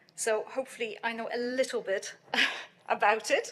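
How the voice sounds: A woman talks at a fairly slow pace with a fairly high pitch and a bright, sharp tone.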